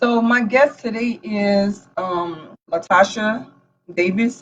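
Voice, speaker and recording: A woman speaks in a somewhat breathy voice. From Louisiana. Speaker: nonprofit founder. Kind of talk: casual chat.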